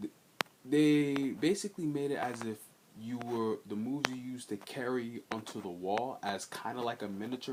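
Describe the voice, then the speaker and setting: The man's voice sits at a medium pitch with ordinary pitch variation. There is noticeable background noise. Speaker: gaming video creator. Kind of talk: casual vlog commentary. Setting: storage room at home. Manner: quiet; halting, many fillers.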